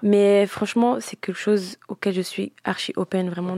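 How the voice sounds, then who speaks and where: A woman speaking at a moderate pace, the sound dry and close with no echo. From grew up between Italy and France, multilingual surroundings. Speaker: singer. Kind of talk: interview. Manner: halting, many fillers.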